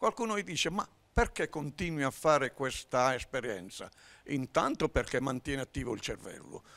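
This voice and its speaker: A man with a bright, sharp tone speaks at a moderate pace, his pitch swinging very widely. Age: 70s. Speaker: amateur actor; TV talk show guest. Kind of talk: casual chat. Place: studio. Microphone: handheld.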